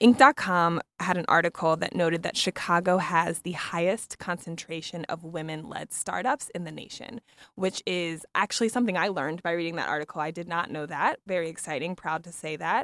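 Using a normal speaking voice, a woman with an American accent talks at a fairly quick pace at a fairly low pitch with ordinary variation and big swings in loudness, in a dry, close sound with no echo. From US East Coast. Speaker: podcast host. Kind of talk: interview conversation.

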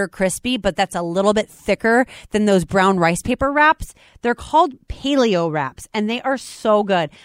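With an animated tone and lively intonation, a woman speaks on a very clean recording with a silent background and a dry, close sound with no echo. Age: 30s. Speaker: radio host and fitness trainer. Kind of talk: casual chat.

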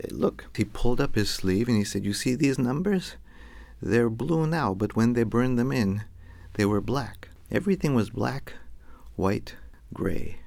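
A man with an American accent, medium pitch and vocal fry, lively intonation, a fairly slow pace and long, frequent pauses. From US West, Los Angeles. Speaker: storyteller. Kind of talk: storytelling performance.

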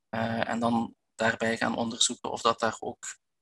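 This man has a Flemish accent, a medium pitch and a moderate pace. His tone is bright and sharp, and the sound is dry and close with no echo. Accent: Belgian Flemish, audible. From Belgian Limburg. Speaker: physiotherapist and researcher. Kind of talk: expert interview. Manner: halting, many fillers and repetitions.

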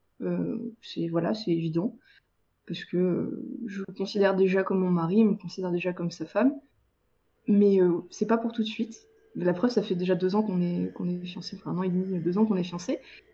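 Speaking at a fairly quick pace, a woman with a medium pitch, a dark, mellow, somewhat breathy tone and ordinary pitch variation leaves long, frequent pauses. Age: 20s. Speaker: freelance web writer. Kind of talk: casual interview.

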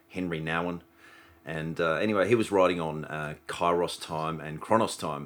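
A man with an Australian accent speaks at a very deep, low pitch, using ordinary pitch variation. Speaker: podcast host. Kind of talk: casual interview.

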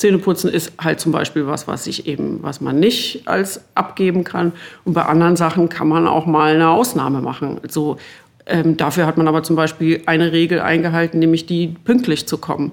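A woman talks with a fairly low voice at a moderate pace. Her pitch variation is ordinary. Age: 50s. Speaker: journalist and author, chief editor. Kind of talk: casual interview chat. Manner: hesitant, many fillers.

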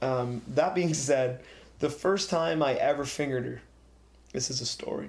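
A man with a fairly high pitch and vocal fry talks at a moderate pace with ordinary pitch variation. He takes long, frequent pauses. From rural area. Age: 20s. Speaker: improv performer and student. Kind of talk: casual chat.

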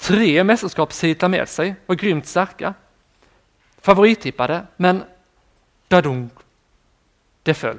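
A man's high voice at a fairly slow pace, with ordinary pitch variation, on a very clean recording with a silent background. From southern Sweden (Skåne, Ängelholm). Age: 20s. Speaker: preacher. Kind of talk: sermon.

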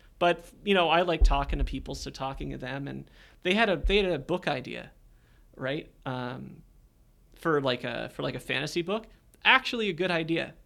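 In a very clean recording with a silent background, a man with a Canadian accent speaks at a moderate pace in a fairly high, bright, sharp voice with vocal fry, lively intonation and big swings in loudness. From Canada, Hamilton, Ontario. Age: 30s. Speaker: marketing director at a coaching company. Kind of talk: casual interview. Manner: relaxed, many fillers.

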